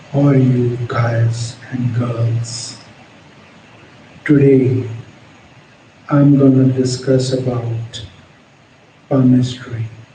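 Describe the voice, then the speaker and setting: Amid audible room echo, a man at a medium pitch speaks at a very slow pace in a monotone, flat intonation, with long, frequent pauses. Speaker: palmistry teacher. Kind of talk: tutorial. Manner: halting, with pauses between words; unscripted.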